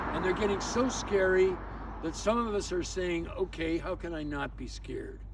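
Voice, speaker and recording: A man talks at a moderate pace. Audible room echo and noticeable background noise surround the voice. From Canada. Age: 80s+. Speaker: community activist vlogger. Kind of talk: casual outdoor video monologue. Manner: halting, with many repeated words.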